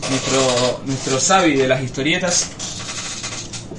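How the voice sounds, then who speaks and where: A man with a Rioplatense accent speaks at medium pitch. Noticeable background noise and audible room echo are present. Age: 20s. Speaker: podcast host. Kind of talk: casual chat. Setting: live stream with Discord call.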